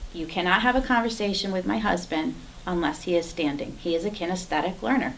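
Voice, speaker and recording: The voice moves through very wide pitch swings. Noticeable background noise and audible room echo surround it. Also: woman. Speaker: Toastmasters speaker. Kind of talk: prepared speech. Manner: animated.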